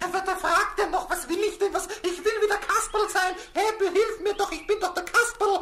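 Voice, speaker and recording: An extremely high put-on character voice runs on with hardly any pauses over clear background noise. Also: moderate pace. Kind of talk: children's radio play. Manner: excited, stammering.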